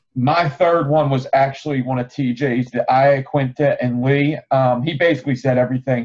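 Here is a man with an ordinary speaking voice at a medium pitch. He keeps a moderate pace with hardly any pauses and fairly even intonation. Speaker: MMA podcast panelist. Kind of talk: casual chat.

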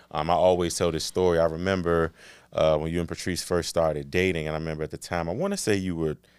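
Against a silent background in a very clean recording, a man with a very deep, low pitch and an American accent talks very fast. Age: 30s. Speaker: podcast host. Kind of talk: interview conversation.

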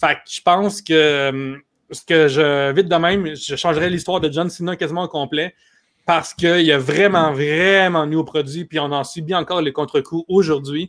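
A man speaks in an unremarkable speaking voice, fairly high-pitched, with fairly even intonation at a moderate pace. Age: 30s. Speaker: comedian and writer. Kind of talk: casual chat.

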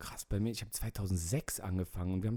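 The voice has a dark, mellow tone and a moderate pace on a very clean recording with a silent background. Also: man. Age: 30s. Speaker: rapper and media designer. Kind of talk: casual chat.

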